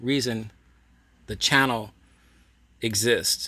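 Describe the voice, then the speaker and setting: Against a silent background in a very clean recording, a man talks fairly slowly with a bright, sharp tone. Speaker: toy collector and museum channel host. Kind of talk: casual monologue to viewers. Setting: in his toy museum room. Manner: proper, concise enunciation; projected voice.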